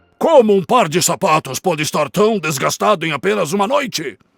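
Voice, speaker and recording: A man's cartoonish character voice, growling and high-pitched, with lively intonation at a fairly quick pace. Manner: authoritative.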